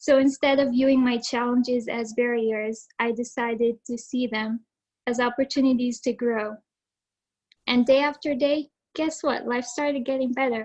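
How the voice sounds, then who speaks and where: The speech comes at a moderate pace in a monotone, flat manner, with an Arabic accent. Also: woman, high pitch for a woman. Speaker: student speaker, valedictorian. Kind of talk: prepared speech. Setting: video call.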